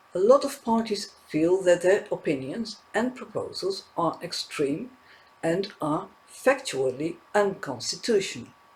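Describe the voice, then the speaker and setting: A man with a non-native accent speaks at a fairly slow pace. His pitch is high and his intonation lively. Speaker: political news commentator. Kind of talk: news commentary.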